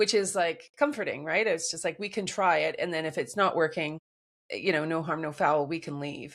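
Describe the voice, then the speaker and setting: A woman speaks fairly quickly in a normal speaking voice with ordinary pitch variation. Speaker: podcast co-host. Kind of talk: casual chat.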